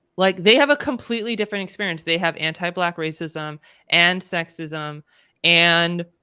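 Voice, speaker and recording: With a Californian accent and a bright, sharp tone, the voice moves at a moderate pace with ordinary pitch variation in a very clean recording over a silent background. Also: woman. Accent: Californian American. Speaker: DEI consultant. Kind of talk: interview conversation. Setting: live stream.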